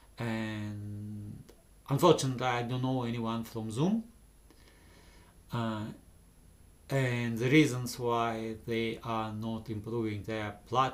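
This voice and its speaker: A man with a non-native accent speaks at a very slow pace and a medium pitch, his fairly even intonation broken by long, frequent pauses amid audible room echo. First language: not English. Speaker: vlogger. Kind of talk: unscripted monologue. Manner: halting, many pauses. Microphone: camera's built-in microphones.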